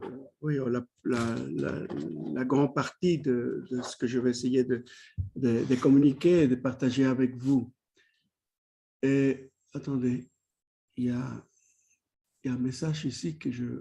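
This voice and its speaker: Very slow speech from a man with a Spanish accent, medium-pitched and dark, mellow in tone, broken by long, frequent pauses. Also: fairly even intonation. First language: Spanish (speaking French). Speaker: academic, clinical psychoanalyst. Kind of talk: lecture. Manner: halting, many repetitions and hesitations.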